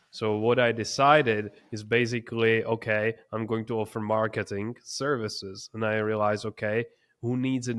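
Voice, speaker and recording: A man with a non-native accent speaks in a flat, monotone way against a quiet background. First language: not English. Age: 20s. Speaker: entrepreneur. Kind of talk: interview.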